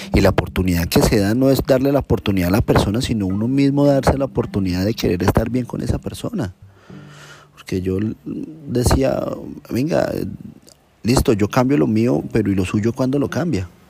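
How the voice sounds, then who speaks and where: Music plays in the background as a man speaks at medium pitch and a moderate pace with lively intonation. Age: 30s. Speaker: personal storyteller. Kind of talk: personal testimony.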